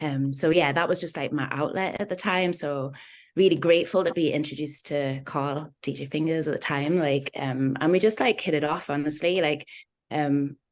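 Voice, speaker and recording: A woman with a slight Geordie accent speaks at a very deep, low pitch. Her pace is moderate, her pitch variation ordinary, and the background quiet. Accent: slight Geordie twang. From northern England, Newcastle. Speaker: singer-songwriter. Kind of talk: casual interview chat. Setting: video call.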